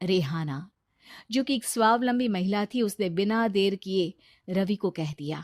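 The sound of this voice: A woman speaks at a medium pitch and a fairly slow pace, her slightly mellow tone carrying ordinary pitch variation in a dry, close sound with no echo and a very clean recording over a silent background.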